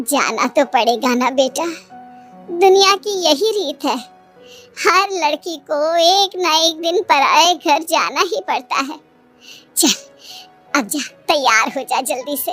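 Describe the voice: A woman's cartoonish character voice, extremely high in pitch and fairly slow, with faint music in the background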